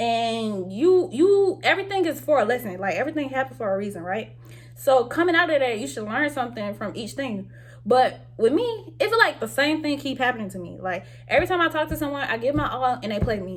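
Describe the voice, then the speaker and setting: A high-pitched woman, animated and fairly quick, with very wide pitch swings over noticeable background noise. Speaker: vlogger. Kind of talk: casual monologue. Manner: fast.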